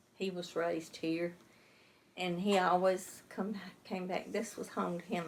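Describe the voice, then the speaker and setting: A woman with an Alabama accent speaks at a moderate pace and medium pitch with fairly even intonation and big swings in loudness, over noticeable background noise. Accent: Southern US, Alabama. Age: 70s. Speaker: local resident. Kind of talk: interview.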